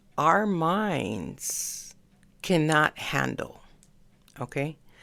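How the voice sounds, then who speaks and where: A soft-spoken woman talks at a very slow pace with vocal fry. Her tone is bright and sharp. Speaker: astrology podcaster. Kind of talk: casual solo podcast monologue. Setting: home desk at night. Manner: soft-spoken, low volume; hesitant, many fillers.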